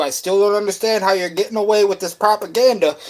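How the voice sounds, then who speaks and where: A fairly quick pace carries this voice with a New England accent. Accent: Yankee. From Western New York, Buffalo. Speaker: livestreamer. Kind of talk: casual livestream chat.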